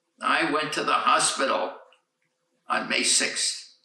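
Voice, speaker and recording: Delivered at a very slow pace, the speech is colored by audible room echo. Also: man. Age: 80s+. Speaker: centenarian. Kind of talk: birthday speech.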